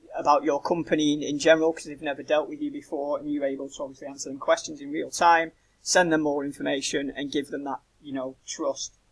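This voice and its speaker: In a British accent, a man speaks at a very fast pace with fairly high pitch and monotone, flat intonation. His loudness swings widely. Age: 30s. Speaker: web designer. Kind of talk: website review tutorial. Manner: casual, many fillers.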